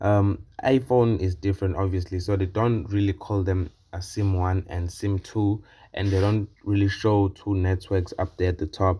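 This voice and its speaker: The voice is dark and mellow, somewhat breathy, with a monotone, flat delivery. The recording is very clean and the background silent. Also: man. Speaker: tech reviewer. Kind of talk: tech review video. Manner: casual, hesitant with fillers.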